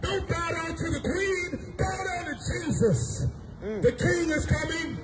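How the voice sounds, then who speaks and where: A man talks at a fairly slow pace with an American accent. Loud background noise runs behind him. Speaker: street preacher. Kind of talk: street preaching sermon. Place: street.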